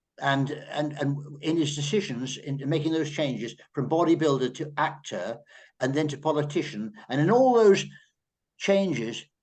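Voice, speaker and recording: This man has an English accent and a fairly high pitch. He keeps a moderate pace with ordinary pitch variation. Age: 80s+. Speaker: journalist. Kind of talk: panel discussion. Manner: halting.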